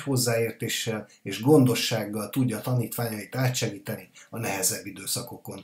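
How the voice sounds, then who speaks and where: A normal speaking voice, a man's, comes at a moderate pace and a medium pitch. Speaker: podcast host. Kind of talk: interview.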